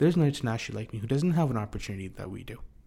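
A man with a medium pitch talks at a very fast pace, his voice somewhat breathy. His intonation is lively, and the recording is very clean with a silent background. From India. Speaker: filmmaker and composer. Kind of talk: casual chat.

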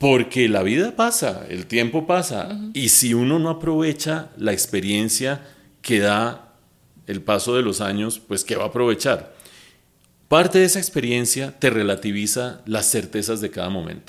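A man speaks in a normal speaking voice at medium pitch, with lively intonation and a fairly slow pace. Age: 60s. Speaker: economist and TV news analyst. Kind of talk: casual interview chat.

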